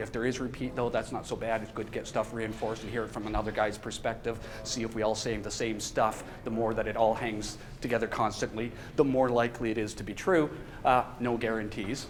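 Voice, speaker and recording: A man with a medium pitch speaks at a fairly quick pace, with audible room echo. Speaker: professor. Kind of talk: lecture. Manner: fast; casual.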